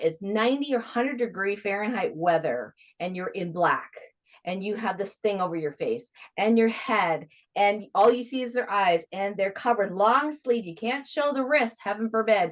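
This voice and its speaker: A woman with an American accent speaks in a normal speaking voice, fairly high-pitched, at a moderate pace with lively intonation. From United States. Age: 50s. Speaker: radio host. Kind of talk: interview.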